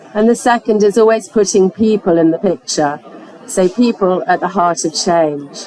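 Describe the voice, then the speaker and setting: A woman with an English accent, medium in pitch with ordinary pitch variation, at a fairly slow pace over crowd noise in the background. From England. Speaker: foundation programme director. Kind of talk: panel presentation. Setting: conference pavilion with audience.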